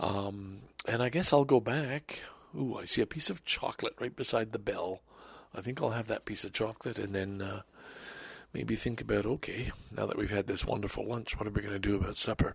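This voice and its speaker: A man puts on a raspy character voice, quiet and at a fairly low pitch. He moves at a fairly quick pace with ordinary pitch variation. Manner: hushed.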